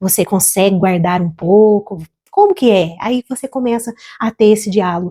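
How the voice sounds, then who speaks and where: A woman's medium-pitched voice has a dark, mellow tone and a dry, close sound with no echo, moving at a moderate pace. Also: ordinary pitch variation. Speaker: financial educator and small business consultant. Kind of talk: educational talk to camera about couples' finances. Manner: calm, warm, measured.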